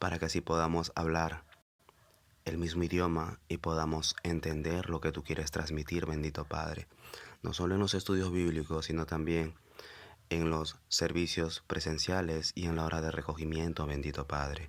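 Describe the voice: A moderate pace with little pitch movement. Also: man, extremely low pitch for a man.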